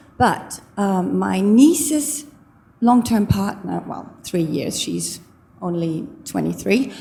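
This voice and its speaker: The speech moves at a very slow pace, with big swings in loudness and audible room echo. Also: woman. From Germany. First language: German. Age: 50s. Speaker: audience member asking a question. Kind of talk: audience question at a lecture. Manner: halting.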